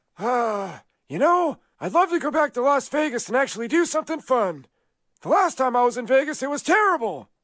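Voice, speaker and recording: A high-pitched, cartoonish character voice moves at a moderate pace on a very clean recording with a silent background. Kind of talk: cartoon comedy.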